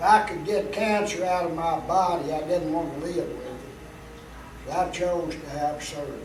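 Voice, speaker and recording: The speech moves at a moderate pace with ordinary pitch variation, audible room echo and noticeable background noise. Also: man. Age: 70s. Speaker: cancer survivor. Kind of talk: interview testimony.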